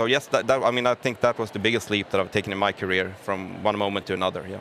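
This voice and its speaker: With a Gothenburg accent, a man talks very fast in a fairly low pitch. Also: fairly even intonation. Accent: Gothenburg Swedish. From Gothenburg, Sweden. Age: 30s. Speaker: business executive. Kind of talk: interview. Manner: halting.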